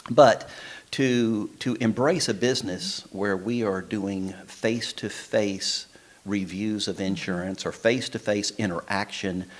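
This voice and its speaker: Speaking with a Texan accent, a man talks at a fairly slow pace in a fairly low pitch with ordinary pitch variation. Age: 60s. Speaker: insurance agent. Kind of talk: interview.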